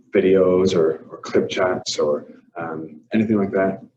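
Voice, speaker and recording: Very deep and low, a man's voice carries an Irish accent and fairly even intonation. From Ireland. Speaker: language teacher. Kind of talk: workshop presentation. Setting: empty classroom.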